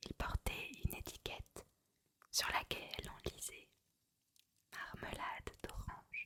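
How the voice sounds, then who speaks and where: A woman whispers at a very slow pace. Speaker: ASMR creator. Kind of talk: whispered reading of a novel for sleep. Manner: whispered, soft, slow.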